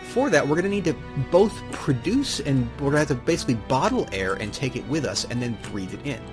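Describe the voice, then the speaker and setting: The voice swings very widely in pitch over music in the background. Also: man. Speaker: gamer. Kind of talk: let's play commentary. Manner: casual, hesitant.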